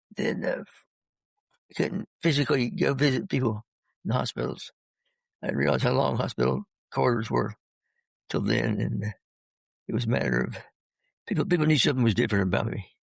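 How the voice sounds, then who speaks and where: A man's very fast speech broken by long, frequent pauses, in a dry, close sound with no echo. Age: 60s. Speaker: retired pastor. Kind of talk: interview. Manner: halting, with stutters and repeats.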